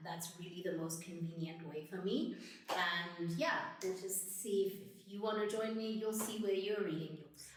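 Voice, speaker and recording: A woman speaks at a medium pitch with an American accent and ordinary pitch variation. There is audible room echo and noticeable background noise. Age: 30s. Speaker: lifestyle vlogger. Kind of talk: casual vlog talk to camera. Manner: conversational, with fillers.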